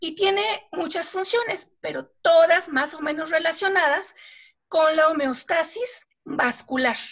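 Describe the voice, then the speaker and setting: Very slowly, a woman speaks at an extremely high pitch with ordinary pitch variation. Her loudness swings widely. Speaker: biology lecturer. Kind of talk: radio interview, scientific explanation.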